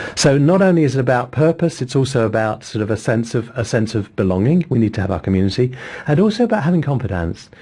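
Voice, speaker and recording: A man with an English accent talks at a very fast pace. His pitch swings very widely. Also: medium pitch for a man. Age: 60s. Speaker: psychotherapist. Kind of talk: interview.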